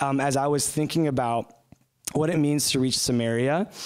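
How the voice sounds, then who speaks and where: Against a quiet background, a man with an American accent and a fairly high pitch speaks at a moderate pace with ordinary pitch variation. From US, suburban. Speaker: short-term missionary speaker; speaker. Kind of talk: sermon. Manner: halting, many fillers. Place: church.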